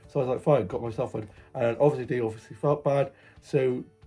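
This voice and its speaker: With music in the background, a man with an English accent talks at a fairly quick pace in a medium pitch and fairly even intonation. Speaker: vlogger. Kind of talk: casual vlog narration. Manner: chatty.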